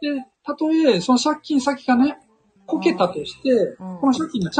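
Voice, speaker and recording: Talking at a very fast pace, a man with an extremely high voice makes very wide pitch swings and big swings in loudness. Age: 50s. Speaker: author and investor. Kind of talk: casual chat.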